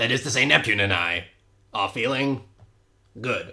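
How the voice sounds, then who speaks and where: A man does a cartoonish character voice at a moderate pace with ordinary pitch variation, in a very clean recording with a silent background. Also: medium pitch for a man. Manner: formal, precise.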